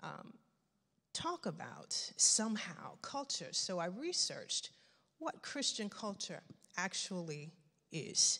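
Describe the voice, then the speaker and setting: A woman speaks at a very slow pace against a quiet background. She leaves long, frequent pauses. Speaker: guest. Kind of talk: sermon. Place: church. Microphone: handheld.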